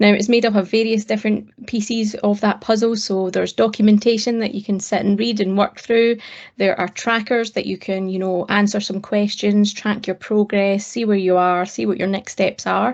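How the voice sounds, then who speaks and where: A woman speaks with a Scottish accent and hardly any pauses. Her intonation stays monotone and flat. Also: medium pitch for a woman, moderate pace. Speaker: cloud technology advocate. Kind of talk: interview.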